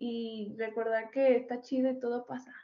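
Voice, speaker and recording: Speaking at a fairly slow pace, a woman talks with a Mexican accent. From Mexico. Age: 20s. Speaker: podcast co-host. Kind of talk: casual chat.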